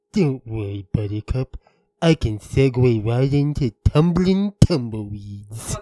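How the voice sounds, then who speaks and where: A man's put-on character voice at medium pitch, fairly slow, with lively intonation and a dry, close sound with no echo. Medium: audio drama. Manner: smooth and jaunty.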